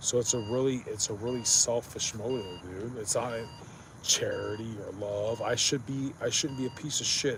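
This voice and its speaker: A man with an American accent talks at a moderate pace, with fairly even intonation. Noticeable background noise is present. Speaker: live streamer. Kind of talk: casual live stream monologue. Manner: monotone; slurred.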